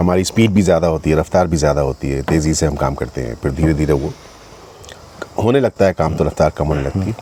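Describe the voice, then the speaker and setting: Amid noticeable background noise, a man speaks with a very deep, low pitch and ordinary pitch variation. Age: 60s. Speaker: actor. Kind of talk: casual chat. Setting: outdoors.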